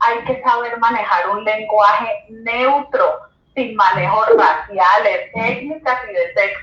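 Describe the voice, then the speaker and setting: A woman talks very slowly in a Colombian accent. Her pitch sits fairly high. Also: ordinary pitch variation. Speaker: educator and journalist. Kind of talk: interview.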